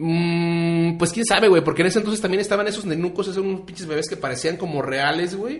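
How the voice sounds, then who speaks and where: A man speaks at a very fast pace in a high pitch, with hardly any pauses. His pitch varies in an ordinary way, and there is noticeable background noise. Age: 30s. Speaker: podcast co-host. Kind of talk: casual chat. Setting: studio streamed on Facebook Live.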